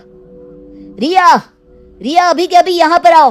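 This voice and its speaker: A woman shouting in a put-on character voice at a fairly slow pace, with faint music in the background. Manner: shouting angrily.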